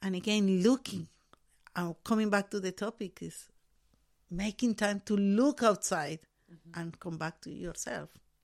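Against a silent background on a very clean recording, a woman at medium pitch speaks at a fairly slow pace with ordinary pitch variation, big swings in loudness, and long, frequent pauses. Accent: Spanish. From Colombia. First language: Spanish. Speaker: artist and educator. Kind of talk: casual chat. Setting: studio.

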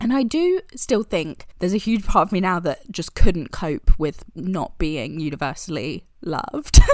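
A woman with a British accent, medium-pitched and fairly slow, with very wide pitch swings and big swings in loudness. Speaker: podcast co-host. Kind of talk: casual chat.

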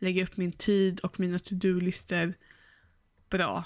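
Recorded very cleanly with a silent background, a woman speaks at a medium pitch and a fairly slow pace. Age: 30s. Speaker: podcast co-host, virtual assistant student. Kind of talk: casual chat.

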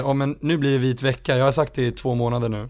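Fairly quick in pace, a man speaks at a medium pitch with fairly even intonation. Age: 20s. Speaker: musician. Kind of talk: casual chat.

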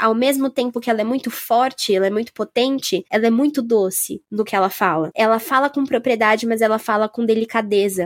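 A woman's unremarkable speaking voice, fairly high in pitch with ordinary pitch variation, at a fairly quick pace with hardly any pauses and very even loudness, dry and close with no echo. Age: 20s. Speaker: podcast host. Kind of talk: casual chat.

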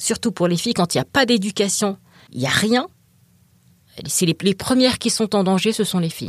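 On a very clean recording with a silent background and a dry, close sound with no echo, a woman speaks at a medium pitch and moderate pace, somewhat breathy, with lively intonation and long, frequent pauses. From France, African heritage. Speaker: writer, excision survivor. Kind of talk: interview.

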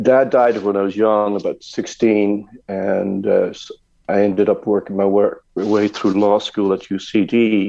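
A man with an American accent speaks at a very slow pace and fairly low pitch. His intonation is monotone and flat. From Ireland (Dublin, Co. Meath). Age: 60s. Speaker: emigrant businessman. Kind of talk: radio interview.

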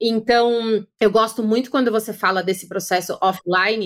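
At a fairly slow pace, a woman speaks in a fairly high pitch with fairly even intonation and a plain, everyday voice. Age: 40s. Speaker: podcast host and content creator. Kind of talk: casual interview chat.

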